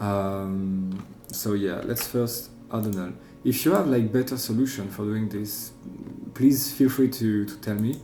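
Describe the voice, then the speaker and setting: Music plays behind a man speaking with a French accent at a fairly low pitch. His pace is fairly slow, his pitch varies in an ordinary way, and the room echo is audible. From France. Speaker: software tutorial creator. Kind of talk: tutorial. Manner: halting, many fillers.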